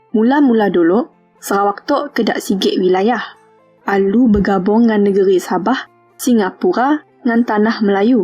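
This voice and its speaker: Music plays in the background as a woman speaks at a moderate pace. Her pitch varies in an ordinary way. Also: fairly high pitch for a woman, very even loudness. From Sarawak, Malaysia. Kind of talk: language sample reading.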